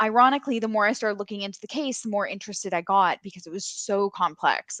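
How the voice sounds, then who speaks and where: Someone with a Canadian accent and a plain, everyday voice talks at a fairly quick pace, captured as a dry, close sound with no echo against a quiet background. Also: woman. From Canada. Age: 30s. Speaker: online case investigator, YouTuber. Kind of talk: casual chat.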